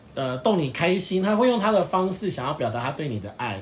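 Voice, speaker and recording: A man with a fairly high pitch talks at a moderate pace, his voice swinging very widely up and down, with audible room echo around him. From Taiwan, Pingtung. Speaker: podcast co-host, dog owner. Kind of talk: casual chat.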